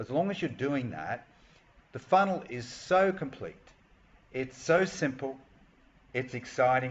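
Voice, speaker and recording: A man with an Australian accent, medium pitch, somewhat breathy, at a fairly slow pace with long, frequent pauses. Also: lively intonation. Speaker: online marketing coach. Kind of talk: tutorial. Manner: hesitant, with many fillers.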